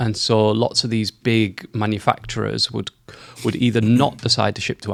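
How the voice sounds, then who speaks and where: A man's fairly low voice with vocal fry, fairly quick, in a dry, close sound with no echo. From northeast England, Darlington. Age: 40s. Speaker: e-commerce consultant, former retail executive. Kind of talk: casual interview.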